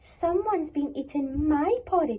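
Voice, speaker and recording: A put-on, growling character voice, female-sounding and high-pitched, at a moderate pace. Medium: read story.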